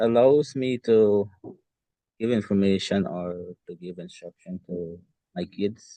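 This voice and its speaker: Talking very slowly with a Guyanese accent, a man has a fairly low pitch with ordinary variation. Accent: Guyanese Creole. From Guyana. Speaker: parent in discussion group. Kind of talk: group discussion.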